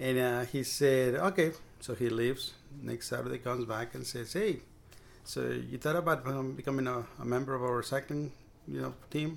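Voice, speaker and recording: With a Spanish accent, a man speaks at a moderate pace and medium pitch, with ordinary pitch variation. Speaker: bike mechanic and cycling advocate. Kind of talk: casual interview chat.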